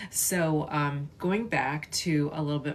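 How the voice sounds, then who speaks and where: This woman has a very deep, low voice and an American accent. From US Midwest, western suburbs of Chicago. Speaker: artist and content creator. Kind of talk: casual livestream chat. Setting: livestream. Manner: halting, many fillers.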